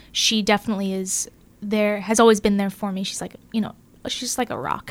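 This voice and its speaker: Over music in the background, a woman with an American accent speaks at medium pitch with monotone, flat intonation. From Southern California. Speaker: podcast host. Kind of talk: casual chat. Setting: studio.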